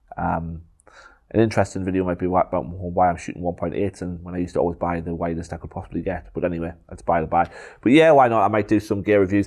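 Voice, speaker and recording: A man speaks in a very deep, low voice with a strong Geordie accent and fairly even intonation, on a very clean recording with a silent background. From northeast England, Gateshead. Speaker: photographer, YouTuber. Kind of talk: casual Q&A vlog. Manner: hesitant, many filler ums.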